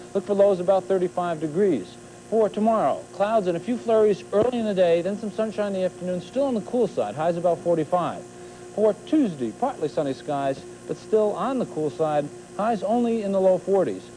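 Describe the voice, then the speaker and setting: A man's high-pitched voice at a fairly quick pace, lively intonation, and music in the background. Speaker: TV weather forecaster. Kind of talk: TV weather forecast.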